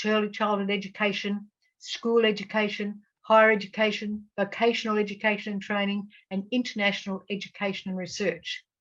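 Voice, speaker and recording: A woman with an Australian accent talks at a fairly quick pace and medium pitch. Her intonation is monotone and flat. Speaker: education academic. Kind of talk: conference presentation.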